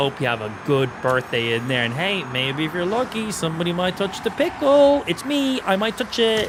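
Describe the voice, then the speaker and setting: Noticeable background noise sits behind a man talking at a moderate pace with hardly any pauses. His high voice makes very wide pitch swings. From Ireland. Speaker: gaming streamer. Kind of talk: live gaming stream commentary with chat. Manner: animated.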